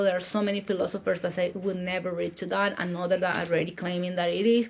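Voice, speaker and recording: A woman speaks with a Paraguayan accent. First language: Spanish. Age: 40s. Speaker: marketer and entrepreneur. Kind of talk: interview conversation.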